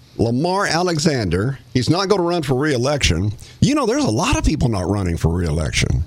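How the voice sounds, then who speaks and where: With an American accent, a man's pitch swings very widely over noticeable background noise. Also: medium pitch for a man, fairly quick pace. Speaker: radio host and former county commissioner. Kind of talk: casual chat.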